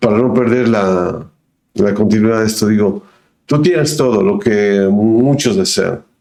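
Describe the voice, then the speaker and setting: Very slow in pace, a man speaks at medium pitch with a dark, mellow tone and lively intonation. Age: 60s. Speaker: podcast host. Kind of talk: casual interview chat.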